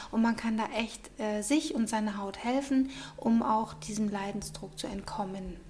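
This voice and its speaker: Speaking at a fairly slow pace, a woman with a fairly high pitch and ordinary pitch variation is heard over noticeable background noise. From Munich, Bavaria. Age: 40s. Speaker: beautician. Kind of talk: interview. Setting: studio.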